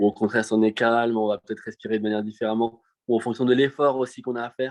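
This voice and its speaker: A man's medium-pitched, monotone, flat delivery at a very fast pace. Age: 20s. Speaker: professional show jumping rider. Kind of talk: casual interview. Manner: hesitant, many fillers.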